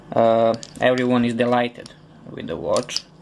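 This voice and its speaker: Noticeable background noise sits behind a man's voice. He speaks at a fairly slow pace with a Serbian accent. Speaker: customer reviewer. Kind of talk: product review. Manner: halting, with many fillers.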